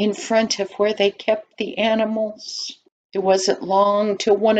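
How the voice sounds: Behind the speaker, things stay quiet. The delivery is a natural reading voice.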